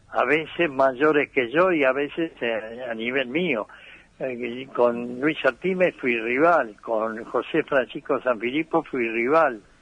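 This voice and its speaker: Here a man speaks at a medium pitch. His pace is very slow. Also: ordinary pitch variation. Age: 80s+. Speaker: retired footballer. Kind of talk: interview.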